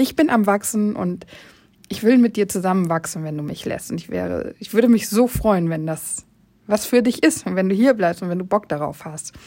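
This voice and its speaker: A woman speaks at medium pitch and a moderate pace. Her tone is dark and mellow. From northern Germany, Oldenburg. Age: 30s. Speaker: podcast host, educator and hobby painter. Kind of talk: solo podcast monologue, casual.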